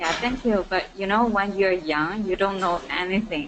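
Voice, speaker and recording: A woman speaks with a Chinese accent at a moderate pace. Noticeable background noise can be heard. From China, Nanjing. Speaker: student. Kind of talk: casual chat. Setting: webinar call.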